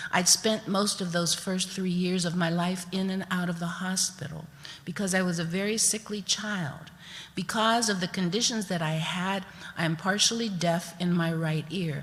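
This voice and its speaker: A woman with an American accent speaks at a moderate pace in medium pitch. Her voice is somewhat breathy, with fairly even intonation. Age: 70s. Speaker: storyteller. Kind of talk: storytelling performance.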